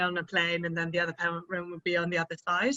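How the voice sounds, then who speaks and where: Fairly low-pitched female voice with a British accent. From UK. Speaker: cycle tour participant. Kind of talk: interview.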